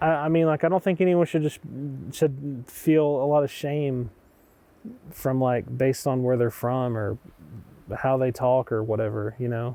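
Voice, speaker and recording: Speaking with a Southern Appalachian accent at a moderate pace, a man shows ordinary pitch variation and takes long, frequent pauses. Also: medium pitch for a man. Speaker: documentary interviewee. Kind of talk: documentary interview.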